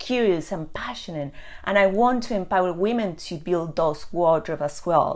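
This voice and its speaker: With an Argentine accent, a woman speaks at a moderate pace using lively intonation. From Argentina. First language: Spanish. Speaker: personal stylist. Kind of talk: live video chat to viewers. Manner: hesitant with frequent fillers.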